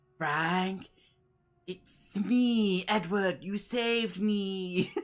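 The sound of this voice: A put-on character voice at a middle pitch, strained and raspy, at a very slow pace.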